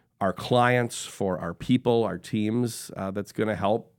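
A man talks with an Upper Midwest accent and fairly even intonation. The recording is very clean, with a silent background. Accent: Upper Midwest American. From Wisconsin, Sheboygan. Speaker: corporate executive. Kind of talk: interview conversation. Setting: studio.

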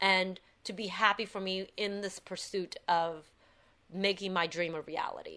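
Against a quiet background, a woman with a medium pitch and a bright, sharp tone speaks at a moderate pace in a monotone, flat way. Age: 30s. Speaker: actress. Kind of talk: casual chat.

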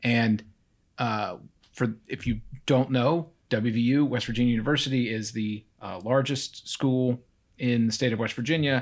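A man at medium pitch, speaking at a moderate pace. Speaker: true crime podcast host and prosecutor. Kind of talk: storytelling a true crime case, casual. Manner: animated, acts out voices.

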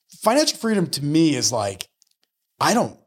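This is an unremarkable speaking voice moving at a fairly quick pace with lively intonation. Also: man. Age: 40s. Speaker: mortgage lender. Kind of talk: casual interview.

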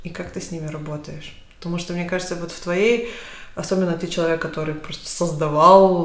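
Moderate pace and fairly even intonation, with noticeable background noise. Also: woman. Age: 30s. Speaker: podcast host. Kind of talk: casual chat. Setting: kitchen, in person.

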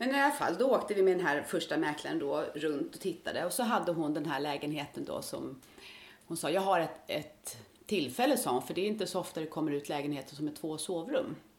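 A woman with a fairly low pitch talks at a fairly quick pace, her voice moving in very wide pitch swings. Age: 50s. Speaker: retired nurse, part-time Mallorca resident. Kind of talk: interview.

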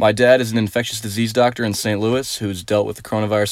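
Fairly low male voice in a flat monotone, on a very clean recording with a silent background. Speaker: podcast host interviewing his father. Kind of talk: interview.

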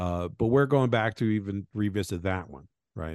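In a quiet background, a man speaks with ordinary pitch variation. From Venezuela and Colombia. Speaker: game designer. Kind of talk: interview.

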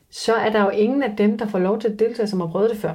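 A woman's dark, mellow voice at medium pitch, fairly quick and fairly even in intonation, with audible room echo. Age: 30s. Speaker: reality TV survival contestant. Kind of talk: interview. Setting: in person with host.

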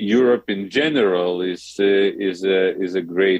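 A man speaks with a Lithuanian accent at a fairly low pitch. His intonation is fairly even. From Lithuania, small town near Vilnius. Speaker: diplomat. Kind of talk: interview. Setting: phone call. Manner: halting, repeats words.

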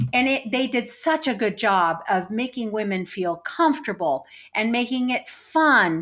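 Fairly slow, fairly high-pitched speech from a woman with very wide pitch swings, on a very clean recording with a silent background. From Mexican-American background. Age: 60s. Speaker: poker organizer and player. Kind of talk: interview. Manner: halting.

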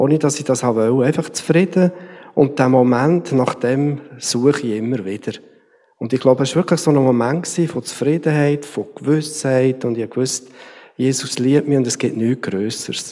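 Using an unremarkable speaking voice, a man talks at a moderate pace and medium pitch with ordinary pitch variation. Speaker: church team member. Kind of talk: testimony.

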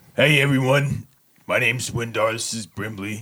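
A man uses a put-on character voice, raspy and at medium pitch. His intonation stays fairly even at a moderate pace. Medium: actual play. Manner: hesitant, halting, self-conscious.

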